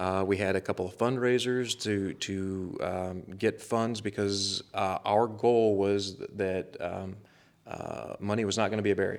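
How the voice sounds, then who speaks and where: With monotone, flat intonation, the speaker has a Missouri accent, and the recording is very clean with a silent background. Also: man. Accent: Missouri accent, still noticeable. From northern Missouri. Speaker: conservation warden. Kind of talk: casual interview. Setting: studio.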